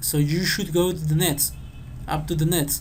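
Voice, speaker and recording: A non-native accent marks the speech. It moves along at a moderate pace. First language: not English. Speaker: engineering tutor. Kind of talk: tutorial. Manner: halting.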